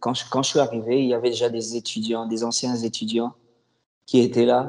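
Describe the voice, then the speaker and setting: His voice is medium-pitched for a man, with a dark, mellow tone. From DR Congo, Kinshasa. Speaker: former student, newcomer services worker. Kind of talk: casual interview.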